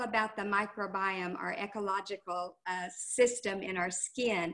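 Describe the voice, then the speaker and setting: The background is quiet as a woman speaks very slowly. Her pitch varies in an ordinary way. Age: 60s. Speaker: skincare sales consultant; presenter. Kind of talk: product talk on a team call. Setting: video call. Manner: hesitant, many fillers. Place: home room. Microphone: webcam.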